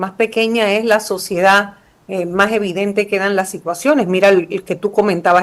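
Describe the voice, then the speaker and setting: With ordinary pitch variation at a moderate pace, this is an ordinary speaking voice. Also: woman. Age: 60s. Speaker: former prosecutor and politician. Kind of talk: interview.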